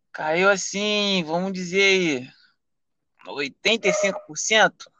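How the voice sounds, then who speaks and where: A man with a high, raised, projected voice and a bright, sharp tone, very slow, with long, frequent pauses. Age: 20s. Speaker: rideshare driver. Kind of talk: casual chat. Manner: halting.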